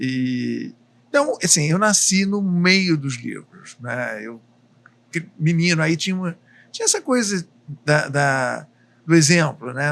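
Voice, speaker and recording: The speaker has a plain, everyday voice. Delivery is fairly slow, with lively intonation. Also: man. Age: 60s. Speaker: book publisher. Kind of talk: podcast interview. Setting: restaurant, live cooking podcast.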